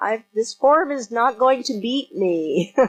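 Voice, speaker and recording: With music in the background, a woman's lively intonation comes through. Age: 60s. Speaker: martial arts master. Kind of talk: interview.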